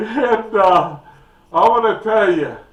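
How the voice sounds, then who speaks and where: In a room with audible echo, a man talks very slowly in a high pitch. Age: 60s. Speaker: YouTube storyteller. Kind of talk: casual storytelling.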